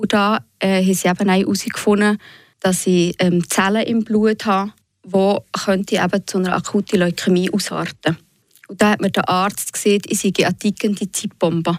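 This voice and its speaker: A woman's medium-pitched, monotone voice at a moderate pace, with very even loudness and a dry, close sound with no echo on a very clean recording with a silent background. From Switzerland, Fribourg region (Bösingen). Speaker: patient and author. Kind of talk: radio interview. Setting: studio.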